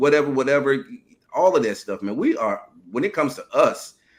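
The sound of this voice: A man at a medium pitch talks at a moderate pace, his voice making big pitch swings.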